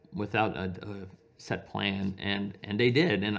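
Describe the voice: A man speaks at a fairly slow pace in a fairly low pitch. His intonation is fairly even, with vocal fry. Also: fairly bright tone.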